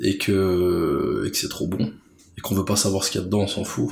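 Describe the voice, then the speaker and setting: Fairly quick, somewhat breathy speech from a man, fairly low in pitch, with ordinary pitch variation. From Brussels, Belgium. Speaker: street food enthusiast and artist manager. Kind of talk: casual interview.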